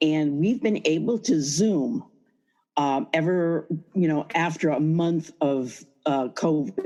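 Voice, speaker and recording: A woman with an American accent speaks very slowly at a very deep, low pitch, in a dark, mellow tone with lively intonation. Her loudness stays very even over a quiet background. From US Northeast, upstate New York (Schenectady). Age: 70s. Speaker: small business owner, window treatment fabricator. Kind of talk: interview. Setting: video call. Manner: upbeat.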